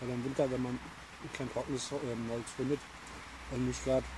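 A man's moderate-paced speech at medium pitch with little pitch movement, over clear background noise

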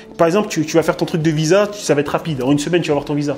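A man rushes along at a very fast pace in a fairly high voice. His pitch varies in an ordinary way over faint music in the background. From France. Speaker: blogger; interview guest. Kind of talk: casual chat. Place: home room.

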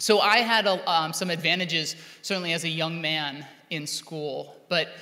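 The speaker talks at a moderate pace with ordinary pitch variation. The background is quiet. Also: man. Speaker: teacher giving keynote. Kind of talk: keynote speech. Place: hall. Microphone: podium.

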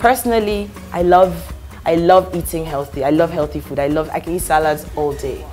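The speech moves at a fairly quick pace while faint music plays in the background. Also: woman. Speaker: talk show guest. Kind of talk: interview answer. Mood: warm, jokey. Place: studio.

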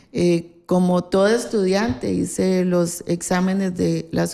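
The background is quiet. A woman speaks at a fairly slow pace. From Costa Rica, Alajuela; Costa Rica. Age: 60s. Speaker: politician. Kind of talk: interview. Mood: calm, reminiscing. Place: office.

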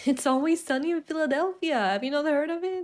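A woman in a Swedish accent, animated in tone. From Sweden. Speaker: gaming video creator. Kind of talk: casual gameplay commentary. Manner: excitable, loud at times; animated, laughs often. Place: home room. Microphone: studio mic.

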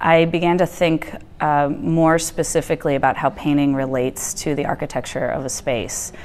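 With a Midwestern accent, the speaker keeps a moderate pace and fairly even intonation, with hardly any pauses. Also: woman, very deep, low pitch for a woman. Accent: US Midwest (Ohio). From Ohio, Cleveland; Ohio. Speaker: artist and art professor; art professor. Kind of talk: interview monologue. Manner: hesitant, frequent fillers. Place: studio. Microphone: lapel.

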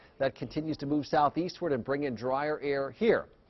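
A man speaks at a very fast pace. His pitch is fairly high. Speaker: TV weather forecaster. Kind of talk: weather forecast. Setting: TV studio. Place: studio.

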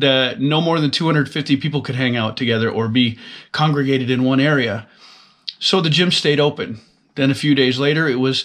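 Ordinary pitch variation and a moderate pace come through against a quiet background. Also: man. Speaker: fitness vlogger. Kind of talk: casual vlog chat. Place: office. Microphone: webcam.

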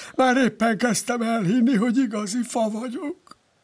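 Using a put-on character voice, a man pitches his speech extremely high. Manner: sleepy, drowsy.

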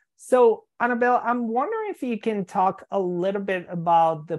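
Speaking at a fairly slow pace over a quiet background, a woman keeps to ordinary pitch variation. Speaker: EMDR therapist and podcast host. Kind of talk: interview conversation. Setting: live video call. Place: home room. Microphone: video call.

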